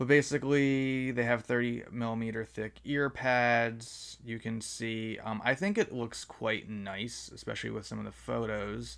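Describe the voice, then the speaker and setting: This man speaks at medium pitch with fairly even intonation. His pace is fairly slow. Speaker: headphone reviewer. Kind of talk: product review. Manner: loud; hesitant, many fillers.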